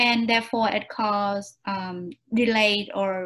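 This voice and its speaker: A woman with a Vietnamese accent speaks very slowly at a medium pitch, her intonation fairly even, over a quiet background. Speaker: job interview candidate. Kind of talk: mock job interview answers. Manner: halting, many fillers.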